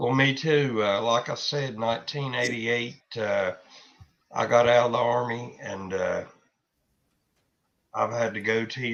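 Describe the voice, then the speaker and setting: Speaking at a moderate pace, a man has a medium pitch and vocal fry. His intonation stays fairly even. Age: 60s. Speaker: army veteran. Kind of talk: casual chat.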